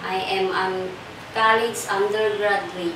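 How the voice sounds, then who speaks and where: Over noticeable background noise and audible room echo, a woman with a Filipino accent speaks at a very slow pace in a monotone, flat intonation. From Philippines. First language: Filipino language. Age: 40s. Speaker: domestic helper job applicant. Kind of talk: job interview. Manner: halting. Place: empty room. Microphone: camera far.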